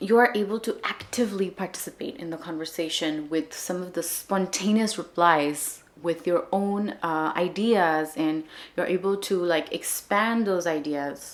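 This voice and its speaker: In a Marathi accent, a woman talks at a fairly slow pace with hardly any pauses, her fairly low pitch showing ordinary variation. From India, Maharashtra. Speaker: language-learning vlogger. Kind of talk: casual vlog talk.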